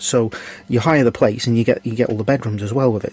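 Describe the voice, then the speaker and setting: Over noticeable background noise, a man talks at a very fast pace and medium pitch. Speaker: podcast host. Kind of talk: casual chat.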